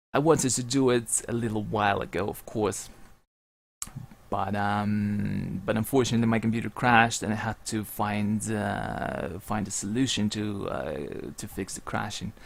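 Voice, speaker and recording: A man with a non-native accent talks at a moderate pace. His voice is fairly low, with ordinary pitch variation and vocal fry. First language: not English. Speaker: game streamer and esports commentator. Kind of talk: live stream chat. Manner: halting, many fillers and repetitions.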